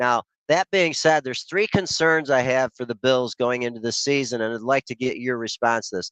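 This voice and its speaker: A man in an unremarkable speaking voice, medium pitch with ordinary pitch variation, dry and close with no echo, over a quiet background. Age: 60s. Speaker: caller. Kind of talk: call-in to live show.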